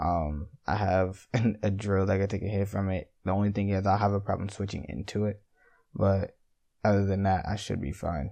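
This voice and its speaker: A man's fairly low voice has a dark, mellow tone and fairly even intonation, heard over a quiet background. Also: moderate pace. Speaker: gaming commentator. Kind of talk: game commentary.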